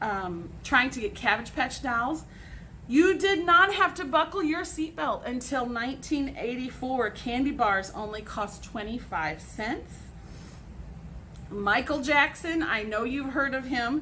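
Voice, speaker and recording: Her voice raised and projected, a woman with an American accent speaks at a fairly slow pace in a high pitch and animated tone, with very wide pitch swings. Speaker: teacher. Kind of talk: recorded class lesson.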